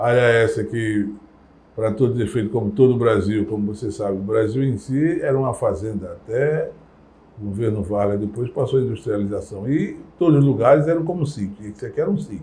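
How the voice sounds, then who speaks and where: A man's somewhat breathy, dark, mellow voice at medium pitch, fairly quick, with ordinary pitch variation. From Brazil, Recife (Pernambuco). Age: 60s. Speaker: community elder. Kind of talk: interview testimony.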